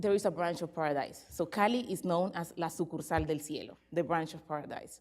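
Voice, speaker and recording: The speech runs at a fairly quick pace with ordinary pitch variation and hardly any pauses. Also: woman, fairly low pitch for a woman. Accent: Spanish. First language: Spanish. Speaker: academic researcher. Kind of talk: conference presentation. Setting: conference with audience. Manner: reading from paper.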